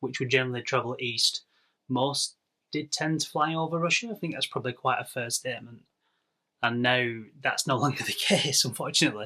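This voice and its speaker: A man with an English accent talks at a fairly quick pace, his pitch medium and its variation ordinary. His tone is bright and sharp. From northwest England. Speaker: podcast co-host. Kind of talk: casual chat.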